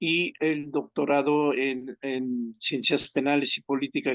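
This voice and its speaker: A man's fairly high-pitched voice, fairly even in intonation and fairly slow in pace, an ordinary speaking voice. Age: 60s. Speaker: criminal law expert, former prison director. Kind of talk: research interview.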